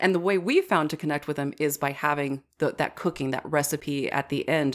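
In a very clean recording with a silent background, a woman with an American accent and a very deep, low pitch speaks at a fairly quick pace. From US, grew up on parents' dairy farm outside Wisconsin. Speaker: dairy farmer and TV host. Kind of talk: interview.

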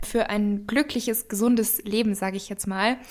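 A woman with a fairly high pitch talks in a normal speaking voice, keeping a moderate pace. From Bavaria, near Munich. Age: 20s. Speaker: fitness and nutrition influencer, cookbook author. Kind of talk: casual interview.

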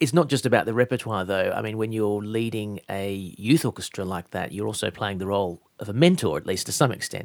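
Very fast speech with lively intonation and vocal fry, in a very clean recording with a silent background. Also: man, fairly low pitch for a man. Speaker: radio host interviewer. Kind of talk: radio interview. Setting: studio.

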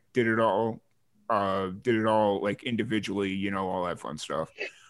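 A man with a Chicago accent. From Chicago area. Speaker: podcast host. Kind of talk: casual interview. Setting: video call.

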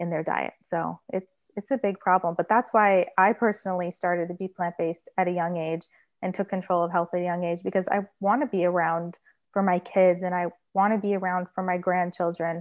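Speaking at a fairly quick pace, a woman with an American accent uses a normal speaking voice, medium pitch and fairly even intonation. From US Midwest (Michigan). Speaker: vegan food blogger and recipe developer. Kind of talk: casual interview.

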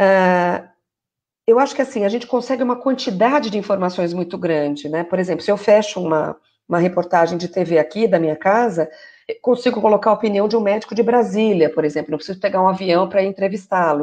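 An unremarkable speaking voice at a fairly quick pace, with ordinary pitch variation, comes through. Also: woman, medium pitch for a woman. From Brazil, São Paulo area. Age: 40s. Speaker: journalist and journalism lecturer. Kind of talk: interview in a live video stream. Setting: online live stream.

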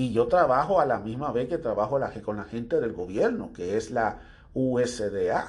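A man speaks in an ordinary speaking voice at a medium pitch. His pace is fairly slow, and his intonation is lively. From Dominican Republic. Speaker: podcast host. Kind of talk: opinion monologue.

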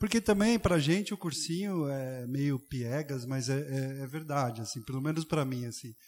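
The speaker has a plain, everyday voice with lively intonation, a moderate pace and hardly any pauses. The recording is very clean, with a silent background. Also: man, fairly high pitch for a man. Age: 40s. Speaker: architect and volunteer educator. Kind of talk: casual chat.

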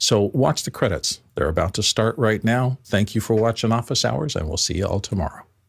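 Somewhat breathy, a man speaks at a medium pitch and fairly quick pace with lively intonation. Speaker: co-host. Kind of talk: interview. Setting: video call.

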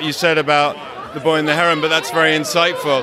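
A man talks at a very fast pace. Crowd noise carries in the background. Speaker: film producer. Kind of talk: interview. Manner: halting.

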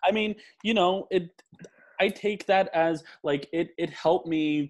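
A man is talking. He has a New Jersey accent. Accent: New Jersey American. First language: Polish. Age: 20s. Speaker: aspiring chef. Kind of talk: casual chat.

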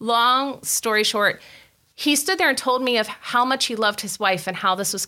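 A woman's bright, sharp tone with an American accent and ordinary pitch variation, on a very clean recording with a silent background. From West Virginia. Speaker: physical therapy clinic co-owner. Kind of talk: interview.

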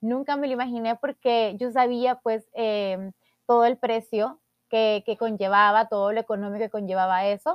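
A woman talks with fairly even intonation at a fairly slow pace. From El Salvador. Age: 20s. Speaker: podcast host, beauty queen. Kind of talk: personal monologue podcast.

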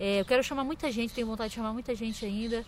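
A woman's normal speaking voice, fairly high in pitch, with ordinary pitch variation, on a very clean recording with a silent background. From Brazil, Santa Catarina. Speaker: podcast host, musician. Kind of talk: casual interview chat. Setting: outdoors in a park.

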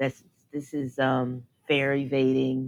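A woman's very deep, low voice in a monotone, flat delivery. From New York City (the Bronx). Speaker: guest. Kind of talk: casual chat.

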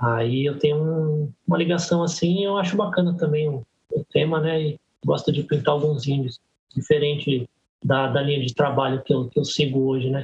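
A man speaks in a plain, everyday voice at a fairly high pitch. His pace is moderate. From Brazil, Guarulhos (São Paulo). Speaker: graffiti artist and tattooist. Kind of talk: casual podcast interview.

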